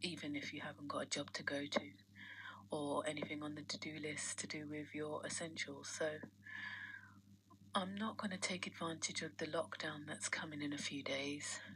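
At a moderate pace, a woman with a very deep, low pitch speaks over light background noise. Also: ordinary pitch variation. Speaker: vlogger. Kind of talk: personal vlog diary. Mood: tired, reflective, resentful. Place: home room.

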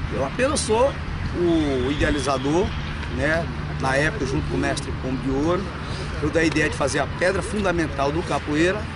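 The speech moves at a fairly quick pace over loud background noise. The sound is dry, with no echo. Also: man. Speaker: capoeira teacher. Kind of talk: interview answer. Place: open country.

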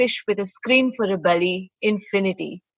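A woman talks at a moderate pace with ordinary pitch variation. The sound is dry with no echo, and the background is quiet. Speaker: poet. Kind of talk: poem performance. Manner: measured, lyrical, wry. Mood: quiet, wistful. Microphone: webcam.

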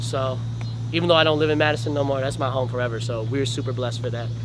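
A man speaks with an American accent at a medium pitch. Noticeable background noise runs under his voice. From US Midwest. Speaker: rapper. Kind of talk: casual interview. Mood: upbeat, grateful. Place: street.

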